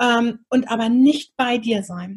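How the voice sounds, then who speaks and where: This woman speaks with a high pitch. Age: 40s. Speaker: podcast host and women's coach. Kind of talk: casual interview.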